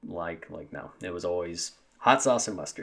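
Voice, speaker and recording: With an American accent, a man speaks at a moderate pace in a very deep, low pitch on a very clean recording with a silent background. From US Midwest, Southeast Missouri, small town. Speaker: podcast host, stay-at-home dad. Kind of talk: casual solo monologue. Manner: hesitant, many fillers.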